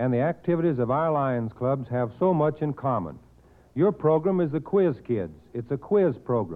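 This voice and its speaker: The voice is plain and everyday, at a moderate pace. Its intonation is lively. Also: man. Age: 40s. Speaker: service club director. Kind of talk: 1940s prepared radio speech. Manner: formal.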